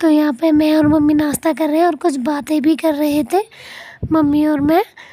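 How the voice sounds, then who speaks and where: Here a woman speaks in a high, strained voice with a dark, mellow tone. Her pace is moderate, her loudness very even and her intonation fairly even. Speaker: family vlogger. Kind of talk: vlog voice-over narration. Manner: strained, forcing voice out.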